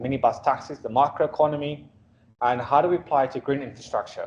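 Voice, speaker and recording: Speaking at a very fast pace with fairly even intonation, a man talks in a South African accent. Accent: Afrikaans South African. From South Africa, Afrikaans-speaking. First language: Afrikaans. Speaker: urban planner, guest lecturer. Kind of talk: guest lecture to students. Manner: casual, interactive; halting, repetitive fillers.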